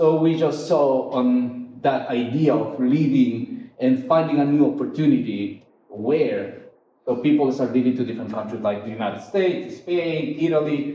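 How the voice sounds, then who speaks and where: Audible room echo surrounds a man speaking at a moderate pace. His pitch is fairly high, with ordinary variation. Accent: Ecuadorian. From Ecuador. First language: Spanish. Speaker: photographer. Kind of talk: artist talk. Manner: halting, many fillers.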